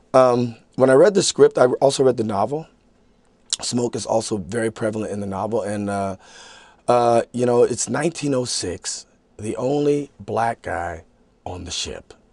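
In an American accent, a man talks at a fairly slow pace with ordinary pitch variation, the sound dry with no echo and the background quiet. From United States. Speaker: actor. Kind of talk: interview. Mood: relaxed, reflective. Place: studio.

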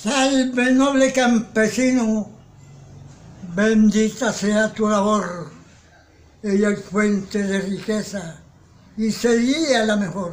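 Speaking at a very slow pace with long, frequent pauses, a man uses a high pitch and ordinary pitch variation. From Caribbean coast of Colombia. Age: 80s+. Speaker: poet. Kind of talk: poetry reading. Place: home room. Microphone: phone near.

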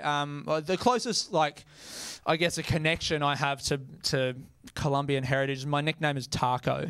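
A man's fairly even intonation comes with a fairly slow pace of speech. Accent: Australian. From Australia. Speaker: stand-up comedian. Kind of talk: stand-up comedy set. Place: stage. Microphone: handheld.

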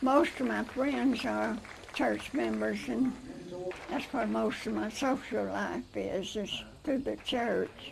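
Over noticeable background noise, a woman with a Southern US accent talks at a very slow pace. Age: 80s+. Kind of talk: interview answer. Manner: cheerful.

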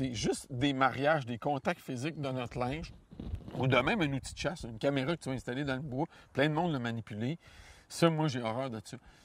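Here a man speaks in a Quebec accent at a fairly quick pace. His pitch variation is ordinary, and the sound is dry with no echo. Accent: Québécois French. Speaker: hunting guide and outdoor columnist; hunting guide. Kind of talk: interview. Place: forest. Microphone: lapel.

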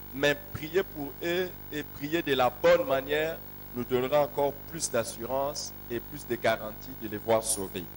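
A man's voice at a fairly slow pace, with music in the background. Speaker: pastor. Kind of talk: sermon. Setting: church. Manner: animated. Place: church. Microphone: handheld.

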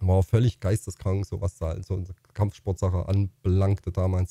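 Dark, mellow, somewhat breathy male speech in a dry sound with no echo, over a quiet background. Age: 50s. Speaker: YouTuber and streamer; streamer, YouTuber. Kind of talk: casual vlog monologue. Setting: home facecam recording. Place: home room. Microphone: studio mic.

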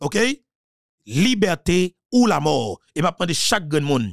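The recording of this man's voice is dry and close, with no echo at all. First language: Haitian Creole (speaking French). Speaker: political commentator. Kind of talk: political monologue.

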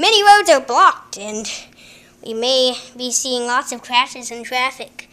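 A put-on character voice from a woman, high-pitched and moderately paced. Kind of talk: formal broadcast delivery. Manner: serious, urgent report.

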